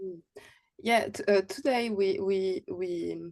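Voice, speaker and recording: With a French accent, a woman speaks at a medium pitch in a dark, mellow tone, her intonation fairly even. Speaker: activist speaker. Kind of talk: panel discussion. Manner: halting.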